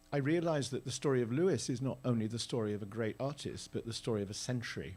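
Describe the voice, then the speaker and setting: A man in a British accent at medium pitch and moderate pace, with lively intonation. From Britain. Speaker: theatre director. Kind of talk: onstage interview. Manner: halting.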